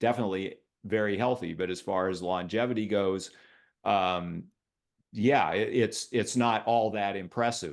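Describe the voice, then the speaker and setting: A man's fairly low voice at a moderate pace, with ordinary pitch variation, against a quiet background. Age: 60s. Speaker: health and fitness writer, interview guest. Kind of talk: casual interview conversation. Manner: halting, many fillers and repetitions.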